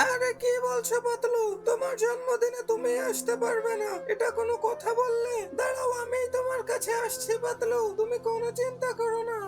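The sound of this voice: A cartoonish character voice moves at a fairly slow pace. Loud background noise runs underneath.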